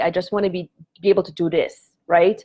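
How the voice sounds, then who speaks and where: A woman speaks with a Polish accent. She moves at a fairly quick pace. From Poland. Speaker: prosperity coach. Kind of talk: live stream teaching talk. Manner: halting.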